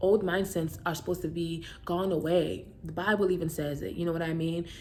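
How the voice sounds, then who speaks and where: A woman with a Brooklyn accent speaks at a fairly quick pace and a fairly low pitch, with vocal fry and monotone, flat intonation, and audible room echo. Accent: Brooklyn New York. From New York, Brooklyn. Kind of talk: casual talk to camera. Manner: fast; over-enunciating at times.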